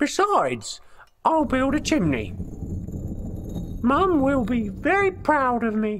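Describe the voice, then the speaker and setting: A female-sounding voice uses a put-on character voice with a high pitch. The pace is fairly slow, with long, frequent pauses. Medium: read story.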